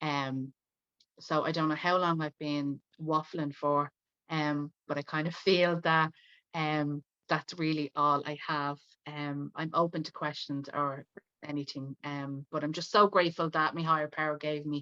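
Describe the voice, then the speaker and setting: Over a quiet background, a woman with a Dublin accent speaks at a fairly slow pace in a very deep, low pitch, with a bright, sharp tone, monotone, flat intonation and a dry, close sound with no echo. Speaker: speaker sharing recovery story. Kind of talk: testimony. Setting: video call.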